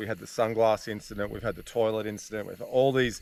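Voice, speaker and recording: Talking at a fairly quick pace, a man with an Australian accent keeps a fairly low pitch and fairly even intonation. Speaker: riding instructor. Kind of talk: casual banter. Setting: outdoors.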